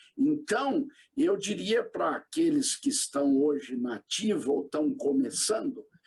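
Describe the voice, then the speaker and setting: A man's high voice with very wide pitch swings and very even loudness, at a very slow pace. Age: 60s. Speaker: retired pastor. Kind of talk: interview.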